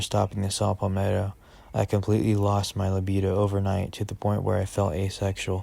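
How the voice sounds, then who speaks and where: At a fairly quick pace, a man speaks in a dark, mellow tone at a fairly low pitch. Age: 20s. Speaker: vlogger documenting illness. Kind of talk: personal testimony.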